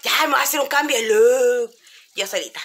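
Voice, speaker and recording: A woman with a Chilean accent speaks in an animated tone. Her intonation is lively. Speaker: vlogger. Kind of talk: casual vlog talk to camera.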